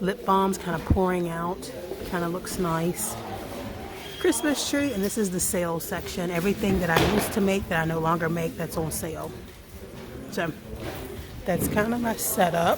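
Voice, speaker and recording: Whispering at a moderate pace with long, frequent pauses, a woman is heard amid noticeable background noise and audible room echo. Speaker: small business owner and vlogger. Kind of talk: casual vlog. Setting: indoor vendor event.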